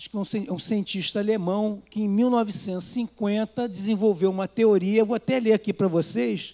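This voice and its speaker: A man talks at a fairly quick pace with hardly any pauses in a high pitch and a dark, mellow tone. The sound is dry and close with no echo, and his intonation is fairly even. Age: 60s. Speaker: preacher. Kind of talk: sermon.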